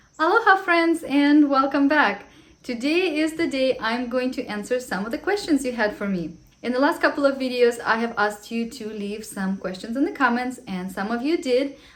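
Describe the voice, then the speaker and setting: With noticeable background noise, a woman with a non-native accent and a high voice speaks at a moderate pace with lively intonation. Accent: foreign. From Ukraine. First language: Russian. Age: 30s. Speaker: vlogger, homeschooling mom. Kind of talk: casual Q&A vlog.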